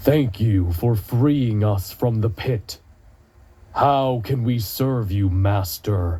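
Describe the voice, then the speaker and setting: The delivery is extremely slow. It's an affected character voice. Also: man, medium pitch for a man. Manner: deferential.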